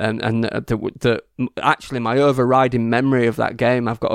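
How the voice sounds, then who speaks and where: A man's medium-pitched, monotone, flat delivery with an English accent at a very fast pace, with a dry, close sound and no echo. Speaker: football podcast panelist. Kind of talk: casual chat. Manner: laughs often.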